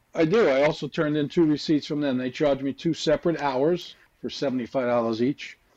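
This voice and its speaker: A man talks in a plain, everyday voice at a moderate pace and fairly high pitch. His pitch variation is ordinary, and the background is quiet. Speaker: dry-cleaning business owner, defendant. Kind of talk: courtroom testimony.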